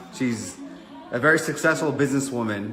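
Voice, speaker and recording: In a New York accent, a man of medium pitch speaks at a moderate pace with an animated tone and ordinary pitch variation, with audible room echo and noticeable background noise. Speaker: online fitness business coach. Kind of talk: casual chat. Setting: livestream at home.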